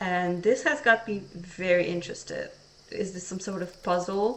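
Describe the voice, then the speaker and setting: Quiet speech moves at a fairly slow pace with fairly even intonation over noticeable background noise. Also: woman. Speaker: vtuber streamer. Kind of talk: casual let's-play stream commentary. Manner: monotone. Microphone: a bit quiet even in the red.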